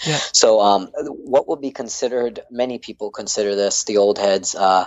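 A man with an American accent, a normal speaking voice, fairly low pitch, moderate pace. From North Carolina. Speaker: dance instructor, app founder. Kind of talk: casual interview.

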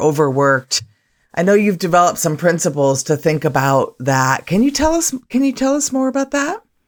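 Very wide pitch swings from a woman's fairly low voice, on a very clean recording with a silent background. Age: 50s. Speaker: podcast co-host. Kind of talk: podcast interview.

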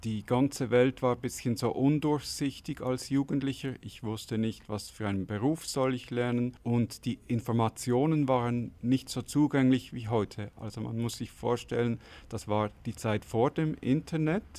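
Speaking at a moderate pace with hardly any pauses, a man has a medium pitch, a dark, mellow tone and fairly even intonation. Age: 40s. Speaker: interviewee. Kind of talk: interview answer.

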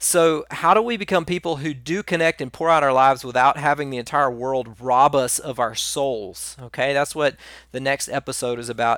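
A man at a fairly high pitch with ordinary pitch variation and hardly any pauses, in a dry, close sound with no echo, on a very clean recording with a silent background. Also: moderate pace. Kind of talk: monologue talk on personal growth and spirituality. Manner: casual, conversational with many fillers; wide pitch variation.

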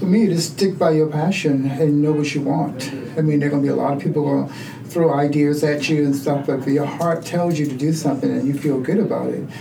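Speaking at a very fast pace with an American accent, a man talks at a fairly high pitch with fairly even intonation over noticeable background noise. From Charleston, South Carolina. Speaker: community center co-founder. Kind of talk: casual interview conversation.

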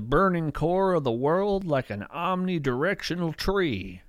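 The pace is very slow, with very wide pitch swings. The recording is very clean, and the background is silent. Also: man. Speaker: podcast host. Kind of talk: scripted nature documentary narration, read aloud. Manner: hushed, measured, vivid storytelling; whimsical, wry, conversational.

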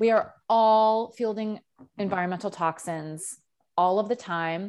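Against a quiet background, a woman with a normal speaking voice talks at a medium pitch with ordinary pitch variation. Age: 30s. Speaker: podcast host and author. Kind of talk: casual chat; solo monologue.

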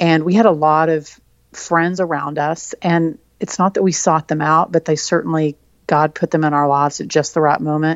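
Speaking in a Texan accent, a woman with a very deep, low pitch keeps a moderate pace and fairly even intonation. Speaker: author. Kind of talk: interview.

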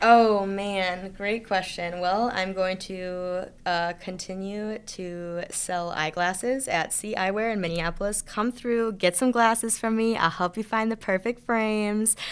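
This is a normal speaking voice at a fairly slow pace. The intonation stays fairly even, with hardly any pauses. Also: woman, medium pitch for a woman. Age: 20s. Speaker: spoken word poet. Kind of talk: interview. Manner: casual, many fillers.

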